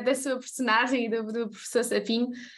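A woman with a high pitch talks at a moderate pace. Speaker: podcast host. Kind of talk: interview.

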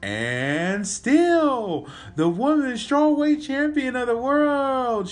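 A man puts on a character voice at an extremely high pitch. He goes at a very slow pace with lively intonation.

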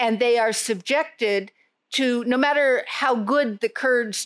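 An unremarkable speaking voice from a woman with an American accent, fairly slow and with ordinary pitch variation, in a dry, close sound with no echo and a very clean recording over a silent background. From US, New York. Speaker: terrorism expert. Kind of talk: interview.

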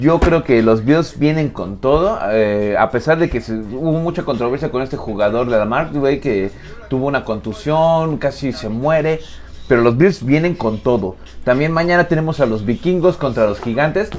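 Using an ordinary speaking voice, a man with a fairly high pitch talks at a moderate pace with lively intonation. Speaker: podcast host. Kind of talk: casual chat.

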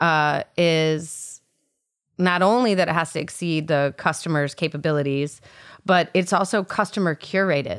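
Fairly low in pitch, a woman talks at a moderate pace with ordinary pitch variation. She has a Midwestern American accent. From US Midwest (Illinois and Michigan). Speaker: shop owner and fashion designer. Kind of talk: casual interview.

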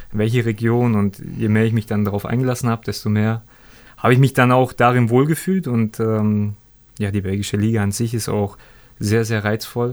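Here a man uses a normal speaking voice at medium pitch. He keeps a moderate pace and fairly even intonation. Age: 30s. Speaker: former professional footballer. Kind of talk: interview.

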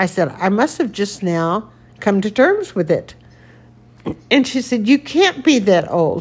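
A woman's fairly high, somewhat breathy voice with very wide pitch swings, a fairly slow pace, and long, frequent pauses. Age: 70s. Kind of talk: casual chat. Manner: halting.

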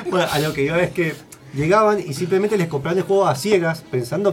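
Very rapid speech from a man, with ordinary variation in pitch. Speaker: radio host. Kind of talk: casual chat. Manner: animated.

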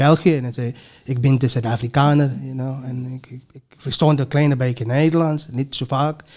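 Somewhat breathy, a man talks at a fairly quick pace in a flat, monotone way. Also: medium pitch for a man, big swings in loudness. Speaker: professor. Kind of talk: interview. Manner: repetitive halting.

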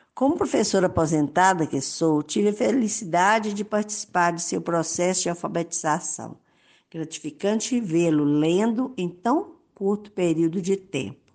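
A plain, everyday voice speaks at a moderate pace with lively intonation over a quiet background. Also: woman, fairly low pitch for a woman. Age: 60s. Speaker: retired teacher, parish volunteer. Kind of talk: prepared testimony. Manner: formal.

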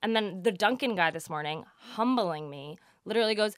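With an American accent, a woman at a medium pitch speaks in an animated tone with lively intonation, in a very clean recording with a silent background. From New Jersey. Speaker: podcast co-host. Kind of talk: casual chat.

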